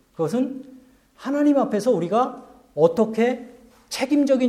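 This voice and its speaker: With audible room echo, a man speaks at a fairly slow pace in an extremely high pitch, using ordinary pitch variation. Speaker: pastor. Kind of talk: sermon. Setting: church.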